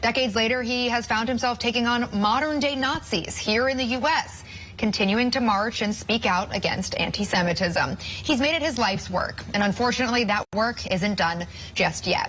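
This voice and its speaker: Over noticeable background noise, a woman with a fairly high pitch talks at a moderate pace, her loudness very even and her pitch variation ordinary. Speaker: news anchor. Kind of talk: news broadcast.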